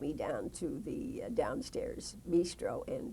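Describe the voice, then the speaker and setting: A woman speaks with an American accent. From US West Coast. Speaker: retired broadcast journalist. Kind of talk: oral history interview. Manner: halting.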